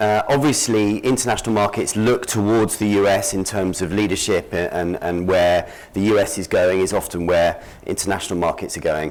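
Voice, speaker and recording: With a British accent, a man talks at a moderate pace in a fairly low pitch. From Britain. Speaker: conference speaker, lawyer and market analyst. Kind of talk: conference presentation. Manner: hesitant, many fillers.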